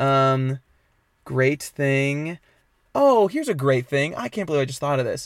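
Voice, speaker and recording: Lively intonation at a fairly slow pace on a very clean recording with a silent background. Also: man. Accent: American. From New York. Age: 20s. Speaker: music teacher and housekeeper. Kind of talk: casual chat.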